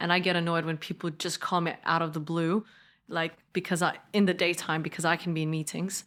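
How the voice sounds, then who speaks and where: In a very clean recording with a silent background, a woman with a slight Danish accent speaks at a fairly quick pace in a fairly low pitch. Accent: slight Danish accent in fluent English. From Denmark. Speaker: politician and entrepreneur. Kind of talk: podcast interview. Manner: casual, animated storytelling with many fillers.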